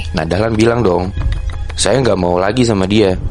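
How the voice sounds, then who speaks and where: Music plays in the background as the voice moves at a moderate pace with ordinary pitch variation. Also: man. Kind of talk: casual horror storytelling in Jakarta slang. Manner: conversational, explaining to a friend.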